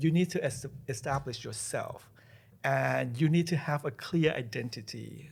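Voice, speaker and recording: At a moderate pace, a man's voice comes across on a very clean recording with a silent background. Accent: non-native. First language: not English. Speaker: college president. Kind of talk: podcast interview. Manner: halting, with repetitions.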